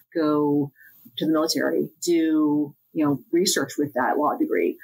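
Very wide pitch swings in a woman's voice. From central Pennsylvania. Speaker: corporate attorney. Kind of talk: podcast interview.

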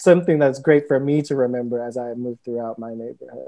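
This is a man with an American accent. The background is quiet. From US Midwest, Cleveland, Ohio; Ohio. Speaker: writer and editor; panelist. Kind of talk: panel discussion. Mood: thoughtful, reflective. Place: home room. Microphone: earbuds.

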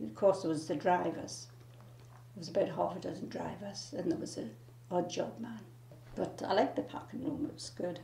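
A woman's fairly low-pitched voice at a moderate pace, with noticeable background noise. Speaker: former factory sweet packer. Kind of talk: oral history interview answer.

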